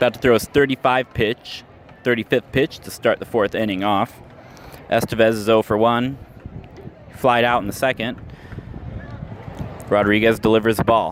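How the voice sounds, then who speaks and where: The speech moves at a moderate pace with long, frequent pauses and a monotone, flat intonation. Noticeable background noise sits under a dry, close sound with no echo. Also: man, medium pitch for a man. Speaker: radio play-by-play announcer. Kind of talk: live baseball radio play-by-play. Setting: ballpark, live game broadcast.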